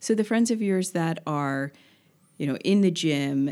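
A woman talks at a moderate pace. The recording is very clean with a silent background. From Delaware, Wilmington. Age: 40s. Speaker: massage therapist, business owner. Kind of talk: casual interview.

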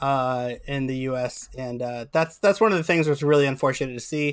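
Here is a man with an unremarkable speaking voice. He talks at a moderate pace in a fairly high pitch. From Ohio, Cincinnati area. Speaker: soccer podcast co-host. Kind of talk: casual chat.

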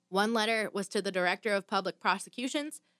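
A woman with an American accent talks at a fairly quick pace in a plain, everyday voice, medium in pitch with ordinary pitch variation. The sound is dry and close, with no echo. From southern Michigan. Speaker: true crime podcast co-host, radio worker. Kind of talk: true crime storytelling, reading from notes. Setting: studio. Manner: casual, filler-heavy.

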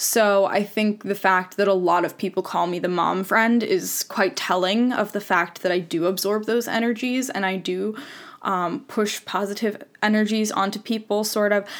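This woman has an unremarkable speaking voice at a medium pitch. She keeps a moderate pace and fairly even intonation. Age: 20s. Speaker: podcast host. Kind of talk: personal monologue. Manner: casual.

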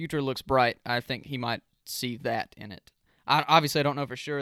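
In a very clean recording with a silent background and a dry, close sound with no echo, a man with an unremarkable speaking voice talks at a fairly quick pace, medium pitch, and fairly even intonation. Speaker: podcast host. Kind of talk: casual chat.

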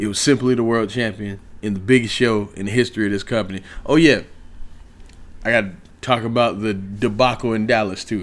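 Pitched fairly low, a man speaks at a fairly quick pace broken by long, frequent pauses. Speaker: wrestling podcast host. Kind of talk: wrestling rant, casual profane monologue. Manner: animated.

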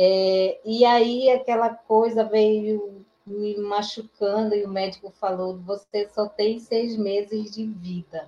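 A woman talks at a very slow pace with hardly any pauses. Her fairly high voice stays monotone, with flat intonation. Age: 40s. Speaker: HIV activist. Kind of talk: online panel discussion.

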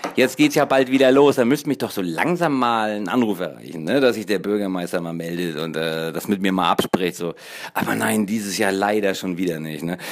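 A man talking at a fairly quick pace. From northern Germany, Kiel. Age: 40s. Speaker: podcaster. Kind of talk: casual monologue. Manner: halting, filler-heavy.

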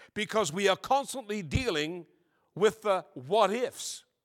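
A man with a high voice speaks very slowly, his intonation lively. The recording is very clean, with a silent background and dry, close sound with no echo. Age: 70s. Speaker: guest preacher. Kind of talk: sermon. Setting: church with live congregation.

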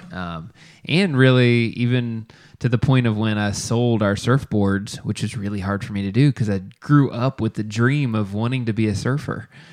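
In a plain, everyday voice, a man speaks at a moderate pace and medium pitch with ordinary pitch variation, against a quiet background. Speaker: podcast co-host. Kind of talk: casual chat.

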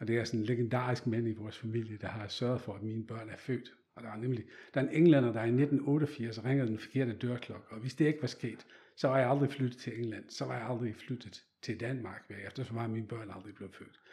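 The man's tone is dark and mellow, somewhat breathy, at a medium pitch with fairly even intonation. He talks at a fairly quick pace, and his loudness swings widely. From Netherlands. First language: Dutch (speaking Danish). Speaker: photographer. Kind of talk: interview. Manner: halting.

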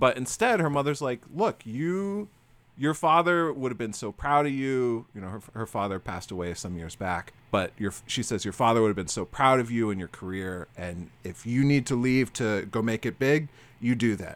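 A man with an unremarkable speaking voice, medium pitch and lively intonation, in an American accent at a moderate pace. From Florida. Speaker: podcast host. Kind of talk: casual chat.

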